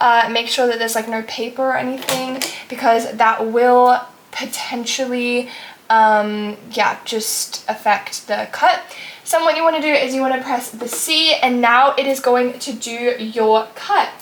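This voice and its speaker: Over noticeable background noise, a woman talks fairly slowly in a high voice with fairly even intonation. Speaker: crafting tutorial vlogger. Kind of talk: tutorial. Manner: hesitant, many fillers.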